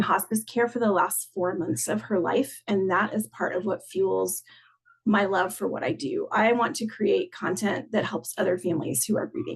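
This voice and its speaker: A woman's medium-pitched voice with vocal fry, in an American accent, at a moderate pace. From US South. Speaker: content designer. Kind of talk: conference talk. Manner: casual, with frequent fillers.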